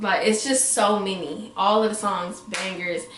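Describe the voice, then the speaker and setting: An animated tone with ordinary pitch variation, noticeable background noise and audible room echo. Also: woman. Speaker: music review vlogger. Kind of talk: casual vlog review. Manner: fast.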